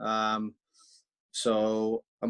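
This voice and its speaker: A man talks in a Welsh accent. The sound is dry and close with no echo. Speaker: professional rugby player. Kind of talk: video call introduction.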